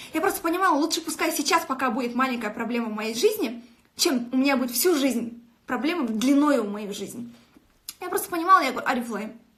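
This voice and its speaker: A woman talks at a fairly quick pace in a high pitch, with lively intonation and an animated tone. Audible room echo surrounds her voice. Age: 20s. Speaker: network marketing director. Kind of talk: motivational live stream. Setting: live video stream. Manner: fast.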